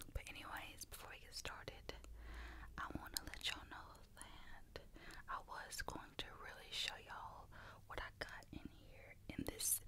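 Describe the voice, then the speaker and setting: Someone whispers at a fairly slow pace in a Southern US accent. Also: woman. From US South. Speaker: ASMR creator. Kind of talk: ASMR eating video, casual talk to camera. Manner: casual, chatty. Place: home room. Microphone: studio mic.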